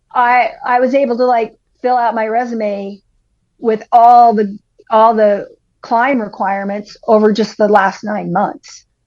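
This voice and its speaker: A woman speaks at a fairly slow pace in a plain, everyday voice. Her pitch is fairly high, with fairly even intonation. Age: 60s. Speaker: climbing guide. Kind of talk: casual chat.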